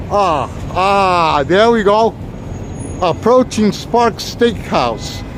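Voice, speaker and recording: With a New York accent, a man talks at a very slow pace in a high pitch with ordinary pitch variation, and there is noticeable background noise. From New York City. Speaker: walking tour live streamer. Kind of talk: live stream walking tour. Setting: outdoors on city streets. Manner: casual, chatty.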